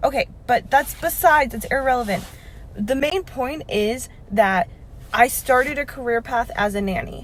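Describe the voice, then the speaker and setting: A woman speaks at a moderate pace in a high pitch. Her tone is animated and her intonation lively. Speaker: vlogger. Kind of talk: casual rant.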